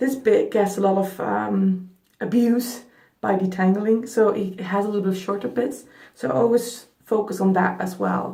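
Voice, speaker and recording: Speaking with a non-native accent at a fairly slow pace, a woman uses lively intonation and vocal fry in a medium-pitched voice with a dark, mellow tone, and there is audible room echo. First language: not English. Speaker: beauty vlogger. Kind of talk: hair care tutorial. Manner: casual, chatty.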